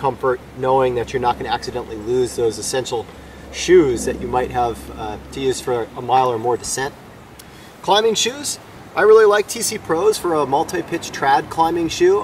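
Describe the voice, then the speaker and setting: The recording of a man sounds dry with no echo, carrying light background noise. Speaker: climbing guide. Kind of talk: gear tutorial. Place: garden.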